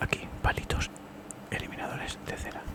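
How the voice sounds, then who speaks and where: Whispering at a moderate pace, a man can be heard through noticeable background noise. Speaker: ASMR creator doing a doctor roleplay. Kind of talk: ASMR doctor roleplay, ear cleaning consultation. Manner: soft-spoken, whispering, casual.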